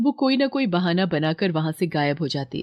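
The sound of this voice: Lively intonation runs through this moderately paced speech, which has a dry, close sound with no echo. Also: woman, slightly mellow tone.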